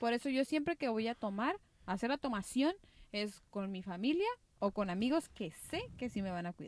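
A woman with a Mexican accent speaks at a moderate pace, her fairly high pitch swinging very widely. The sound is dry and close, with no echo. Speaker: podcast co-host. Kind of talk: casual chat.

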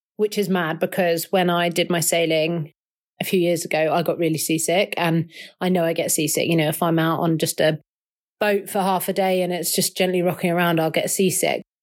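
In a very clean recording with a silent background, a woman with a London accent speaks at a moderate pace in a monotone, flat delivery at a fairly low pitch. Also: very even loudness. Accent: southern English (London). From southwest London. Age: 30s. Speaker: ocean rower. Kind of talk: interview. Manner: casual, with filler words.

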